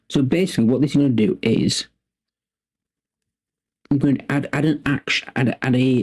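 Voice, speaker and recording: A man mumbles at a moderate pace and medium pitch in a put-on character voice, with long, frequent pauses. His loudness stays very even, and the sound is dry and close with no echo. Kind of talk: casual tutorial narration. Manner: mumbling, words tumbling.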